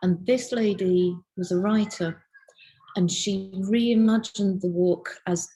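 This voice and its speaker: A woman speaks at a very slow pace with a medium pitch and fairly even intonation. Music plays in the background. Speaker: illustrator, lecturer and researcher. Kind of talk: interview answer. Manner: casual, chatty.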